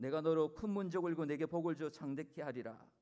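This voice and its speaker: With a Gangwon accent, a man speaks at a fairly high pitch. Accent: regional dialect, Gangwon (self-remarked). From Korea, Gangwon (Chuncheon). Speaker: guest pastor. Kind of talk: sermon. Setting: church.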